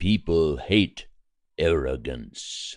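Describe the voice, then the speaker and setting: A man uses a put-on character voice with a very deep, low pitch. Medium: audio drama. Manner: measured, respectful, earnest.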